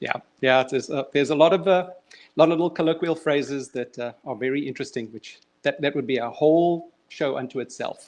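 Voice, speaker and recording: Speaking at a fairly quick pace with a South African accent, a man has a fairly high pitch and ordinary pitch variation. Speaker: children's author and motivational speaker. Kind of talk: casual interview. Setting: online live stream. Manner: halting.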